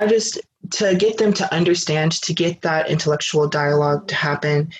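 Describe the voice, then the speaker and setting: A man with an American accent talks at a moderate pace, somewhat breathy and fairly high in pitch. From Detroit, Michigan. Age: 20s. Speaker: activist and college student. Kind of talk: casual interview.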